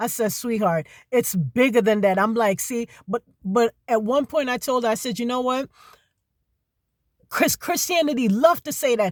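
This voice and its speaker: A speaker talks with a Jamaican accent. The recording is very clean and silent in the background, with a dry, close sound and no echo. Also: woman. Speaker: video blogger. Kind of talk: religious monologue.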